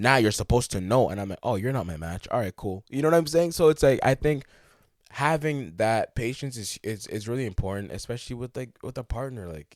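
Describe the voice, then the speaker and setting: At a fairly quick pace, a man with a medium pitch speaks with lively intonation and big swings in loudness. The recording is very clean with a silent background and a dry, close sound with no echo. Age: 20s. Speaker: podcast host. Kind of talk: casual chat. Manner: fast.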